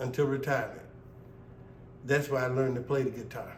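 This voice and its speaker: Noticeable background noise sits behind a voice with a Mississippi Delta accent. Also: man. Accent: Mississippi Delta Southern US. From Indianola, Mississippi Delta. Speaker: blues musician. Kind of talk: interview answer.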